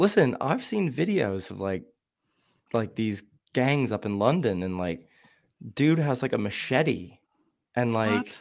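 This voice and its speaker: On a very clean recording with a silent background, a man with an American accent and a medium-pitched voice talks at a fairly slow pace, with very wide pitch swings and long, frequent pauses. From Shamokin, Pennsylvania. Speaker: guest. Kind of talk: casual chat.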